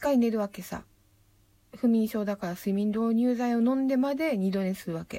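Fairly high for a woman, her voice has a dark, mellow, relaxed tone. She moves at a fairly slow pace with ordinary pitch variation. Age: 30s. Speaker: poet. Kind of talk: casual monologue. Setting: at home in her room. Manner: relaxed, rambling.

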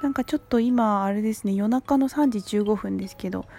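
Over music in the background, a woman speaks at a fairly quick pace with a fairly high pitch and lively intonation, the sound dry and close with no echo. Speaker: solo podcaster. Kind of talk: casual monologue. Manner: halting.

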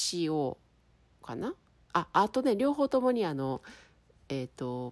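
The pitch swings very widely. The recording is very clean with a silent background. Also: woman. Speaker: podcaster. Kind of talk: casual solo talk. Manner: clear, crisp delivery.

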